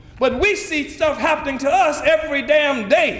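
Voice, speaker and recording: The man's voice carries an audible room echo over noticeable background noise. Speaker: political leader. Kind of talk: speech. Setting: conference stage with audience. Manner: fast; animated.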